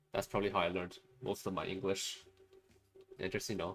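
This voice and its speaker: A man with a Chinese accent, fairly low in pitch, very fast, fairly even in intonation, with music in the background. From China. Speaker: streamer. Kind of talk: casual livestream chat while animating. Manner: halting, many fillers.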